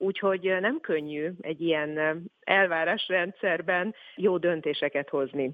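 At a fairly slow pace, a woman uses an ordinary speaking voice, fairly low in pitch with ordinary pitch variation. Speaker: communications manager at a charity. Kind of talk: interview.

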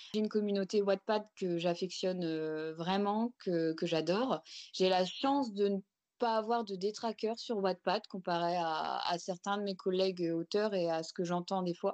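Against a quiet background, a woman of medium pitch talks at a fairly slow pace with fairly even intonation. The sound is dry and close, with no echo. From France, Picardy. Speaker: romance novelist. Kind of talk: interview. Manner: hesitant, many fillers.

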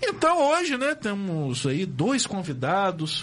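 Animated in tone, a man speaks at a high pitch with very wide pitch swings. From Brazil, Campos dos Goytacazes (RJ). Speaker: community radio host. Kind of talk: casual chat. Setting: studio.

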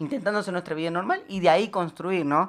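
Fairly low female voice on a very clean recording with a silent background. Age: 20s. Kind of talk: radio interview. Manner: halting.

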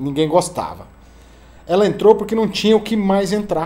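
A man talks at a moderate pace. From Rio Grande do Sul, southern Brazil. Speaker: singer-songwriter. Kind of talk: casual interview chat.

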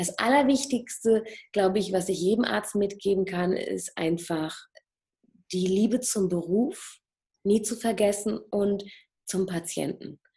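Somewhat breathy and dark, mellow in tone, a woman speaks at a medium pitch and a fairly slow pace with ordinary pitch variation and long, frequent pauses. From Germany. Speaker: plastic surgeon and hypnotherapist. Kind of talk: interview.

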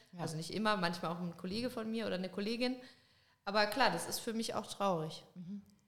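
A woman speaks at a very fast pace and medium pitch. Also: ordinary pitch variation. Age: 20s. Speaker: dairy farmer. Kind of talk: casual interview chat. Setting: studio, in person.

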